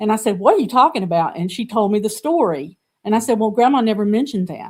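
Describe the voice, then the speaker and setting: A woman with a Southern US accent talks at a very fast pace with lively intonation and a fairly high pitch, in a very clean recording with a silent background. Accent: Southern US (Georgia). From US South, Georgia. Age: 70s. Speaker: artist and art teacher. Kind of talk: interview conversation.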